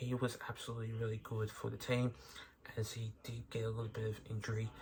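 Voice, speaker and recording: A man with an Australian accent, medium pitch and monotone, flat intonation, talking at a fairly quick pace over noticeable background noise. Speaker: sports recap youtuber. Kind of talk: sports recap commentary. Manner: hesitant, many fillers.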